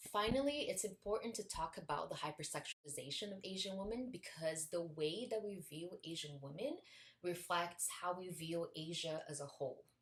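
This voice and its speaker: Speaking at a moderate pace with a non-native accent, a woman sounds somewhat breathy, with a fairly low pitch and lively intonation. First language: not English. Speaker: video essayist. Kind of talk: video essay.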